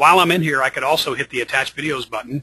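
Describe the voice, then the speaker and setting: A man's bright, sharp voice with fairly even intonation, recorded dry and close with no echo. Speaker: software company founder giving product demo. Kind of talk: webinar tutorial on a call. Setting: conference call. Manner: fast.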